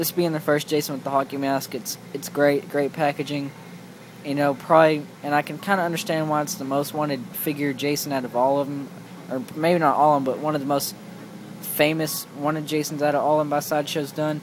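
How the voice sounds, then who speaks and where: Noticeable background noise accompanies talking at a fairly quick speed. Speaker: toy collector reviewer. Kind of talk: product review. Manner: fast; halting.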